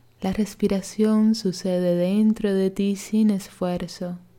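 A woman speaks in a calm, soothing, dark and mellow tone with monotone, flat intonation. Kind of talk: guided meditation (yoga nidra). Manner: slow, calm, soothing, measured, with long pauses; gentle, hushed, instructive.

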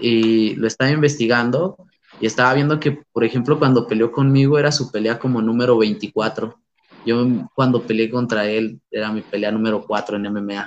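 A man uses an ordinary speaking voice at a medium pitch. He keeps a moderate pace with fairly even intonation. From San Luis Potosí, Mexico. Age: 20s. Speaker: amateur MMA fighter. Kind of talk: interview.

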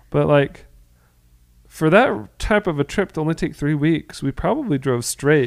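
With a plain, everyday voice and an American accent, a man speaks at a fairly high pitch and a moderate pace, his intonation lively. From Florida, US. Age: 30s. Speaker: podcast co-host. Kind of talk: casual chat.

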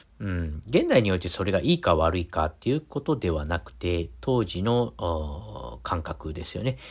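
Very deep and low, a man's voice carries vocal fry and very wide pitch swings. He keeps a moderate pace with hardly any pauses on a very clean recording with a silent background. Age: middle-aged. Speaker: podcast host. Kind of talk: casual monologue. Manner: halting, many fillers.

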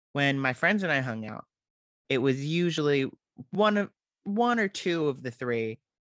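With lively intonation at a moderate pace, the voice sits against a quiet background in a dry, close sound with no echo. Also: man. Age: 20s. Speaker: film podcast host. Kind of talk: solo podcast monologue.

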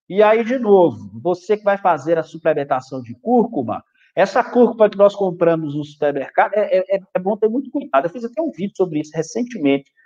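The delivery runs at a fairly quick pace with hardly any pauses, very wide pitch swings, and big swings in loudness. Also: man, high pitch for a man. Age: 40s. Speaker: physiologist, nutrition specialist. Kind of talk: live stream health talk. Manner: calm.

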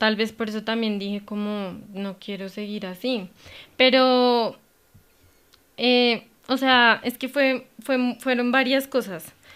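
A woman speaks very slowly in a high voice with fairly even intonation, recorded very cleanly against a silent background. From Colombia, Cundinamarca countryside (Gachetá). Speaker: veterinarian and clinic owner. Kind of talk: casual interview.

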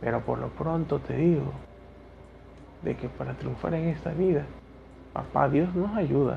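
At a moderate pace, a man is speaking. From Ecuador. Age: 30s. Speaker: teacher and podcaster. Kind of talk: solo podcast monologue.

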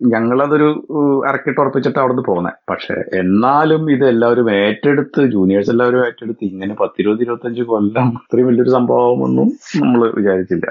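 A man speaks at a medium pitch with ordinary pitch variation. Noticeable background noise runs under the recording. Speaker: engineering college alumnus. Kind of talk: casual interview. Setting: phone call.

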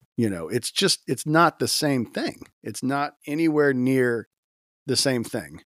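A man with an American accent and an ordinary speaking voice, medium in pitch, speaks at a fairly slow pace with lively intonation in a dry, close sound with no echo. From US South, Gulf Coast Florida (Tampa area). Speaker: worship leader. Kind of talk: casual chat.

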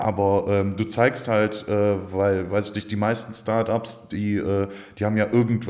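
Monotone, flat intonation from a man with a fairly low pitch, at a moderate pace. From Aachen area, western Germany. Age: 30s. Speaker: PR agency founder. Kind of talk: casual interview.

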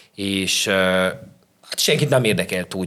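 Noticeable background noise runs under a man speaking at a fairly low pitch. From Szeklerland, Romania (Sepsiszentgyörgy). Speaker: chef and restaurant owner. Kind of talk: casual interview.

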